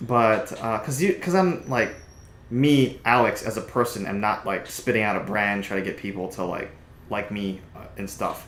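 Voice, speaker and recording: With audible room echo, a man speaks at a moderate pace and medium pitch with ordinary pitch variation. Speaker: streamer. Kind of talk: casual chat. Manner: loud; animated.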